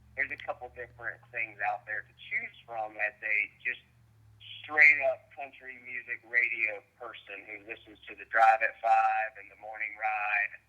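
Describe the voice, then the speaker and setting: His loudness rises and falls in big swings. The man keeps a moderate pace. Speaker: country singer. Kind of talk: phone interview. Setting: phone call. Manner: halting, repetitive.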